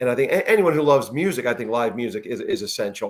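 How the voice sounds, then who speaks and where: Talking at a very fast pace, a man with a fairly high voice uses lively intonation. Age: 50s. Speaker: podcast host. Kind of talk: casual interview chat.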